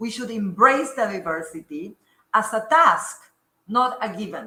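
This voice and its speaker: The pitch swings very widely, and the tone is bright and sharp. The pace is fairly slow. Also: woman. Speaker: academic speaker. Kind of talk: lecture. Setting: lecture room with audience.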